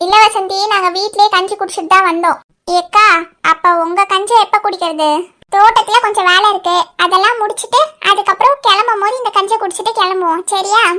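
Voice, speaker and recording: Using a cartoonish character voice with an extremely high pitch, a woman talks at a moderate pace and with fairly even intonation. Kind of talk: cartoon comedy. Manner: brisk, bossy.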